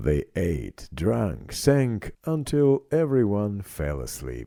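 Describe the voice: A man speaks slowly with vocal fry and a dark, mellow tone. His fairly low pitch swings very widely.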